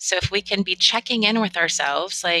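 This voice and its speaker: A woman with an American accent and a bright, sharp tone, ordinary pitch variation, in a dry, close sound with no echo. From Northern California. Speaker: relationship coach. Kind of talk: interview.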